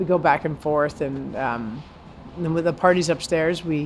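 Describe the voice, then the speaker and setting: A woman's very deep, low-pitched voice with ordinary pitch variation. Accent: American. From New York City (Brooklyn). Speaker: chef. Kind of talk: casual interview. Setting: in a restaurant.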